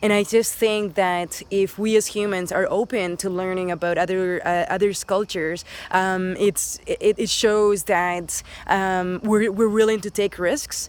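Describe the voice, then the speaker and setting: A woman speaks with a Spanish accent at a fairly slow pace. Her pitch is medium and her intonation fairly even. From Dominican Republic, then Spain, raised in Canada. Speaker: teacher. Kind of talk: casting self-introduction. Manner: hesitant, many fillers.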